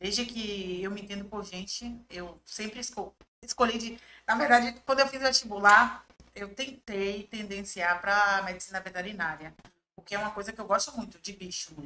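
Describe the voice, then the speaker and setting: A woman with a Bahian accent, medium pitch, ordinary pitch variation, moderate pace, bright, sharp tone and big swings in loudness. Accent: Bahian Brazilian Portuguese. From Bahia, Brazil (raised in Salvador). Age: 30s. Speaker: journalist and press officer. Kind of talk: podcast interview.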